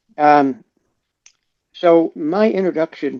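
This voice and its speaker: In a dry, close recording with no echo, a man with a fairly high pitch speaks in a dark, mellow tone with ordinary pitch variation. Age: 70s. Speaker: retired police officer and veteran. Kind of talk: interview. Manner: halting.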